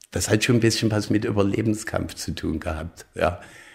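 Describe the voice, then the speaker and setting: Here a man talks with fairly even intonation. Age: 60s. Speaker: lawyer. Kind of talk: interview. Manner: halting, many fillers.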